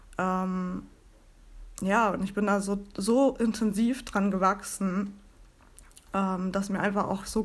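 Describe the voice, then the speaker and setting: A woman speaks at a medium pitch, very slowly, in a monotone, flat delivery. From northern Germany (Bremen). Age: 30s. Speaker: podcast host and founder coach. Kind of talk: solo podcast monologue.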